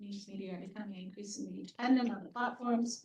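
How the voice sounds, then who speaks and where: A woman speaks at a fairly high pitch in a somewhat breathy, dark, mellow tone. Her pace is fairly quick and her intonation fairly even. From Canada. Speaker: professor, report author. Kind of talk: panel Q&A answer. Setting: hybrid event with audience.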